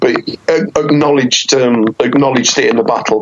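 A man talks at a moderate pace in a monotone, flat delivery. Noticeable background noise runs underneath. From West Midlands, England (Wolverhampton). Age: 30s. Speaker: journalist and battle rapper. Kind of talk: casual interview.

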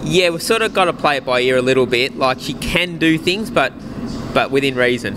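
A man moves at a fairly quick pace with ordinary pitch variation, noticeable background noise behind him. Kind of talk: interview answer. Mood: calm, measured. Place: stadium. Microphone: handheld.

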